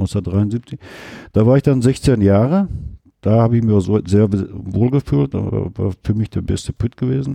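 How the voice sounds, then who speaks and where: A man's fairly low, dark, mellow voice at a fairly slow pace, with ordinary pitch variation and long, frequent pauses, in a dry, close sound with no echo against a quiet background. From Ruhr area, Germany. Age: 50s. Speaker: retired coal miner. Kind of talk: casual interview.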